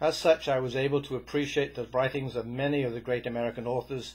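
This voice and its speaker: Somewhat breathy, a man talks at a fairly quick pace with a medium pitch and fairly even intonation. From Wales. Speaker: storyteller. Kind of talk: storytelling monologue. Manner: occasional stammering.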